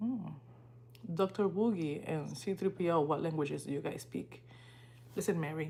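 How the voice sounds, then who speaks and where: A woman with a Spanish accent speaks at a very deep, low pitch with vocal fry. Her intonation is lively, broken by long, frequent pauses. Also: moderate pace. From Dominican Republic. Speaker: livestreamer and student. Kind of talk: casual livestream chat.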